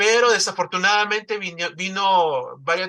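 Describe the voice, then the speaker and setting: A man with a Salvadoran accent, bright and sharp in tone, at a moderate pace, on a very clean recording with a silent background. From El Salvador. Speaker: newspaper founder. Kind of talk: interview. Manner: halting, many fillers and repetitions.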